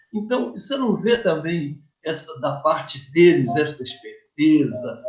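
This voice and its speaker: Very slow pace with lively intonation. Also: man. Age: 70s. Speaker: community TV interviewer. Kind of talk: interview. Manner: halting.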